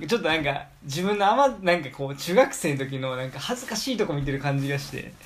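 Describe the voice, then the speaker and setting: Talking very fast, a man with a fairly high voice uses lively intonation. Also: hardly any pauses. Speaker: podcast host. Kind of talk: casual chat.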